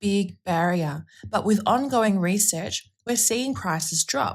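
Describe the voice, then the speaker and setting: A woman with an Australian accent speaks fairly slowly, somewhat breathy and with lively intonation, over a very clean recording with a silent background. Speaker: researcher giving presentation. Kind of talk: scripted presentation for listening test.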